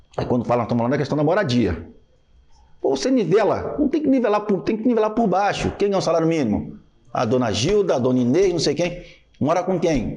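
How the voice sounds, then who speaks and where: A man with a Rio de Janeiro accent talks very fast at a high pitch, his tone dark and mellow with very wide pitch swings. His loudness stays very even, and audible room echo surrounds him. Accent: carioca. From Rio de Janeiro, Brazil. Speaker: army lieutenant and city council candidate. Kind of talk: casual podcast conversation.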